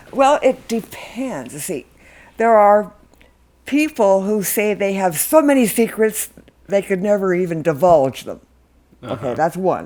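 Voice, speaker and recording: A woman speaks at a fairly slow pace, her pitch swinging very widely. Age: 80s+. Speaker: artist. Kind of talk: interview answer. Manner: humorous, laughing.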